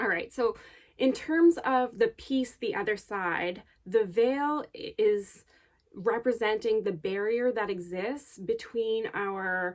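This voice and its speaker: Against a quiet background, a woman talks at a very slow pace. Her voice sits fairly high. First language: Gujarati. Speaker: bead artist. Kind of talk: video monologue.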